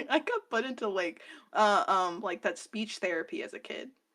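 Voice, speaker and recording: Against a silent background, the recording is very clean. The woman's tone is bright and sharp. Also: long, frequent pauses, big swings in loudness. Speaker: streamer. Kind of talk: interview.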